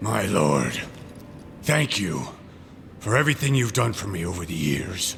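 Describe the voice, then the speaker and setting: A man puts on a raspy character voice, fairly low in pitch with very wide pitch swings, speaking at a moderate pace with long, frequent pauses over clear background noise. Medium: video game. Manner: agitated, contemptuous.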